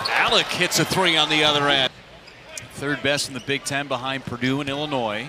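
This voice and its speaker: The man's voice has a fairly high pitch. The sound is dry with no echo, though noticeable background noise is present. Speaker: play-by-play announcer. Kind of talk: live sports commentary. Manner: fast-paced, excited play-by-play delivery.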